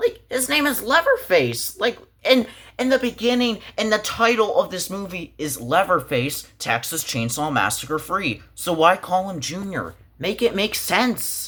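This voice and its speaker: A man speaks with a bright, sharp, animated tone at a high pitch and a fairly slow pace. His pitch swings very widely, and the recording is very clean with a silent background. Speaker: movie reviewer. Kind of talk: casual movie review commentary. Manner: animated, exasperated; pitch rising when frustrated.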